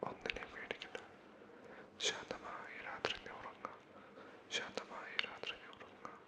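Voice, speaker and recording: A man whispers over noticeable background noise. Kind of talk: ASMR sleep personal attention. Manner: soft-spoken; whispered.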